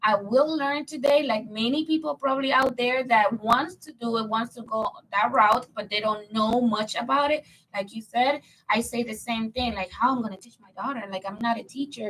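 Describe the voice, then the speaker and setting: With a Spanish accent, a woman talks at a moderate pace, her fairly high voice showing ordinary pitch variation and big swings in loudness. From Dominican Republic. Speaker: podcast co-host. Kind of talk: casual chat.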